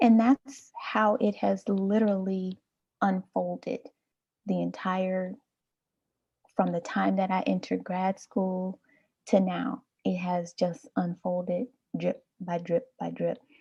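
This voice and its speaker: A soft-spoken woman talks at a very slow pace with long, frequent pauses. The sound is dry and close, with no echo. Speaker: community founder. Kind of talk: interview.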